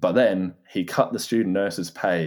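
In an English accent, a man is talking. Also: very clean recording, silent background. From Norfolk, England. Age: 20s. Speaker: guest. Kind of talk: casual interview chat.

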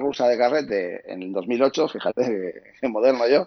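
A man with a normal speaking voice talks at a fairly slow pace in a medium pitch. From Asturias, Spain. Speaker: photographer. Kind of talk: interview.

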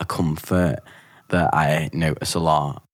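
This man speaks with a Liverpool accent. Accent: Scouse. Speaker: actor and poet. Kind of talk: interview.

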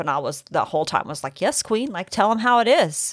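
In a very clean recording with a silent background, a woman with an American accent makes very wide pitch swings. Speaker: true crime podcast co-host. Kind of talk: casual chat. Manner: animated.

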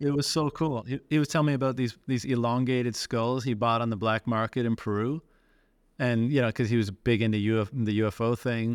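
A man with an ordinary speaking voice talks at a fairly quick pace against a quiet background. His loudness is very even and his intonation fairly even. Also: medium pitch for a man. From Canada, Newfoundland. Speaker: bitcoin podcast host. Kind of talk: casual conversation.

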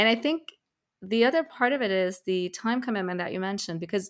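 A woman speaks at a medium pitch with a plain, everyday voice. The recording is very clean, with a silent background. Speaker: podcast host. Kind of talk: interview.

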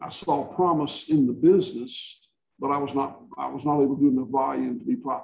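Talking at a moderate pace, this man has a Southern US accent. His delivery is neither hurried nor slow. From rural Georgia, US South. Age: 60s. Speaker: regenerative livestock farmer. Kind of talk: interview, conversational Q&A.

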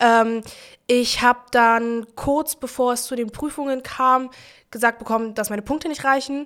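On a very clean recording with a silent background, a woman speaks at a moderate pace, her high voice keeping fairly even intonation. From Berlin-Neukölln. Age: 20s. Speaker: trade union youth activist. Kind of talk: casual interview.

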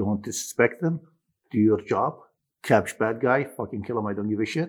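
This speaker has an Arabic accent, a moderate pace and ordinary pitch variation. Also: man. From Iraq. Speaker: former military interpreter. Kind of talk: casual chat. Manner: animated.

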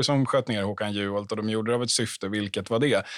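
Here a man speaks in a plain, everyday voice. His pitch is medium, with ordinary pitch variation. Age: 30s. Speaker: political journalist. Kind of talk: panel discussion.

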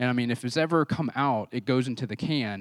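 This man speaks at a very fast pace. The recording is very clean, with a silent background. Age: 40s. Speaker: pastor. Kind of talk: sermon. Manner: halting.

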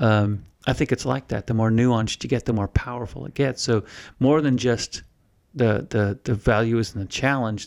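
A man speaks at medium pitch in an ordinary speaking voice with fairly even intonation. The recording is very clean with a silent background, and the sound is dry and close with no echo. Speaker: podcast co-host, veteran. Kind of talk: casual chat.

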